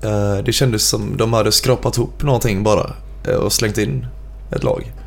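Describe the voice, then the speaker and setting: There are long, frequent pauses as a man speaks at a moderate pace. Room echo is audible, along with noticeable background noise. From Gothenburg, Sweden (Frölunda). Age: 20s. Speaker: metal band singer. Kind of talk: casual interview chat.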